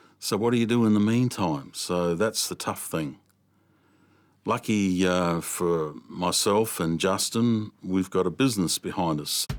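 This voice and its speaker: On a very clean recording with a silent background, a man speaks with an Australian accent at a fairly slow pace. His voice is very deep and low, with ordinary pitch variation. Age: 60s. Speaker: veteran opal miner. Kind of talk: documentary interview.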